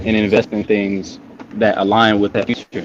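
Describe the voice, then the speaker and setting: An ordinary speaking voice moves at a moderate pace. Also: man. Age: young. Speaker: caller on a livestream. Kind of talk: casual chat.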